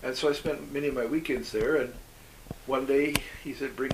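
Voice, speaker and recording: Amid noticeable background noise and audible room echo, a man with a Canadian accent talks at a fairly quick pace. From Canada, British Columbia (Okanagan Valley). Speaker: former overseas volunteer, economist. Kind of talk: interview.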